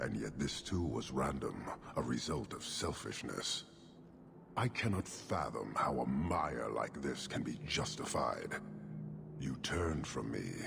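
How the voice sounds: A man's put-on character voice, extremely low in pitch with a fairly bright tone, vocal fry and lively intonation, at a fairly slow pace over faint background noise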